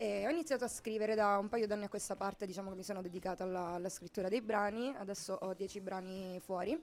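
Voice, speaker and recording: A woman speaks at a fairly quick pace. Her medium pitch holds a fairly even intonation. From Sicily. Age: 20s. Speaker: singer-songwriter. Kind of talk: radio interview. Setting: live radio from a shop window.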